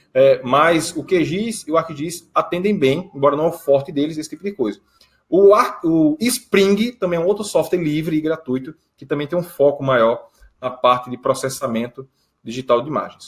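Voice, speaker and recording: This man's fairly high voice has lively intonation and big swings in loudness. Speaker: geoprocessing instructor. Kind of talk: conference talk Q&A. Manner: fast.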